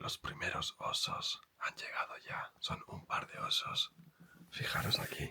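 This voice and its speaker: The voice whispers at a very slow pace. Noticeable background noise is present. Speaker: travel vlogger. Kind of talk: travel vlog narration. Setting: indoors in a hunting cabin watching bears. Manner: soft, hushed.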